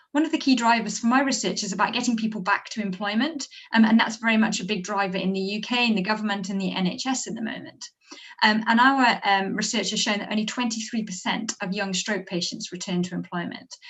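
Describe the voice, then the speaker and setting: A woman speaks at a very fast pace in a fairly high voice with ordinary pitch variation. Noticeable background noise can be heard. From Wales, Brecon Beacons. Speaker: academic researcher. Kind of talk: presentation to a council meeting. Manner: hesitant, many filler sounds.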